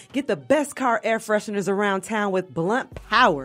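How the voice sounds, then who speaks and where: Over music in the background, a woman with a fairly high pitch speaks at a moderate pace. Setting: radio studio.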